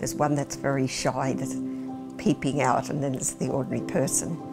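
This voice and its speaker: A woman with an Australian accent, clear music in the background. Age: 70s. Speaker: farmer and wearable artist; interviewee. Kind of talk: documentary interview. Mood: warm, candid. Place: home room. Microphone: lapel.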